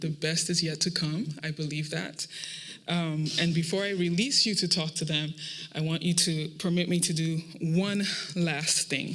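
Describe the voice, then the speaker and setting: At a moderate pace, the speaker talks with a Nigerian accent over noticeable background noise. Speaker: program manager at a startup accelerator. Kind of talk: closing speech at a pitch showcase.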